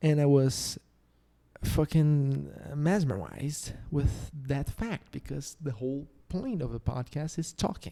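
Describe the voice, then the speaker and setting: Speaking very slowly with a slight Brazilian accent, a man has a dark, mellow tone and ordinary pitch variation. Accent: slight Brazilian Portuguese accent, strong R. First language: Portuguese. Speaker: podcast host. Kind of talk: casual solo podcast monologue. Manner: halting, frequent repetitions.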